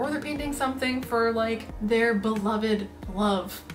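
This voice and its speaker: Faint music plays in the background as the speaker goes at a moderate pace. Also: woman. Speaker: art vlogger. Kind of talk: casual vlog chat. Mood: playful, laughing. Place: home room.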